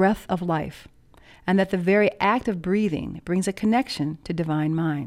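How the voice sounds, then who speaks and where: This woman has an ordinary speaking voice at medium pitch, talking at a moderate pace on a very clean recording with a silent background. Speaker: meditation teacher. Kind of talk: guided meditation and instructional talk. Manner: measured, formal.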